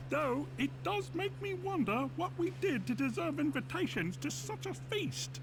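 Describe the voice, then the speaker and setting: Using a put-on character voice, a man speaks at a medium pitch and a moderate pace. Loud background noise fills the recording. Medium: video game. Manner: hesitant, halting.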